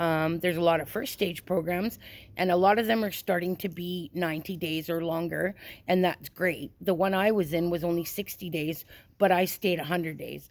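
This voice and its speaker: At a moderate pace, a woman with a Canadian accent and a normal speaking voice talks in a fairly low pitch with fairly even intonation. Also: very clean recording, silent background. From Canada, British Columbia. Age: 50s. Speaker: person in addiction recovery. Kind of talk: interview testimony.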